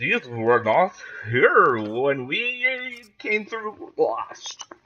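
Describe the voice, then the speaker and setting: A man puts on a high-pitched character voice and speaks at a very slow pace. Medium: actual play.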